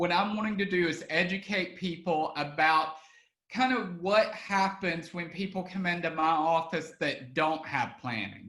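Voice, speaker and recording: With a Southern US accent, a man talks at a high pitch for a man, using ordinary pitch variation. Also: fairly slow pace. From Alabama. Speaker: estate planning attorney. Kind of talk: online webinar presentation. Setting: online video webinar. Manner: casual with frequent fillers.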